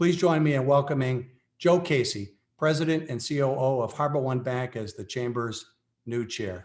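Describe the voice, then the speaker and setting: In an ordinary speaking voice with an American accent, a man talks at a moderate pace, medium in pitch with ordinary pitch variation. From Massachusetts, Brockton. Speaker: chamber of commerce chair. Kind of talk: formal meeting remarks. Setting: video call.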